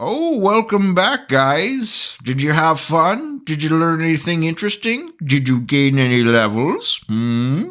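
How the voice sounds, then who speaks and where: Putting on a character voice, a man talks at a fairly high pitch and a fairly slow pace with hardly any pauses. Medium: actual play. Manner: rambling, sheepish.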